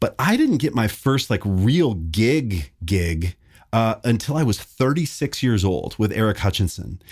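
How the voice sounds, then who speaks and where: On a very clean recording with a silent background, a somewhat breathy man with an American accent speaks in an animated tone, with lively intonation and very even loudness. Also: medium pitch for a man, fairly slow pace. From Montana, US. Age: 40s. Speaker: session bassist. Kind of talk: casual interview chat.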